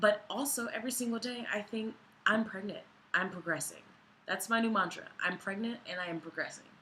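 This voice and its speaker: Talking at a fairly quick pace, a woman with a fairly high pitch shows ordinary pitch variation. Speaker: vlogger. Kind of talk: personal vlog.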